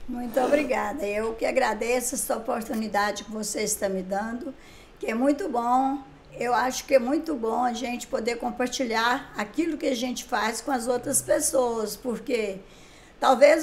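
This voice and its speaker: Speech unfolds fairly slowly. Its pitch shifts in an ordinary way. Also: woman. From Brazil, Minas Gerais (Caratinga area). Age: 70s. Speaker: writer and songwriter. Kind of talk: interview.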